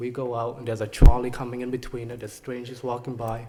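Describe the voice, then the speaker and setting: A man's somewhat breathy voice at medium pitch, delivered at a very fast pace. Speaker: parent speaking at public comment. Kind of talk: public comment at a board meeting. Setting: public meeting with audience. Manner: halting, many fillers.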